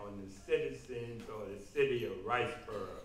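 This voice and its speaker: A man speaks at a medium pitch with ordinary pitch variation. Noticeable background noise and audible room echo come through. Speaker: political candidate. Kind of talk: political forum answers. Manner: slow.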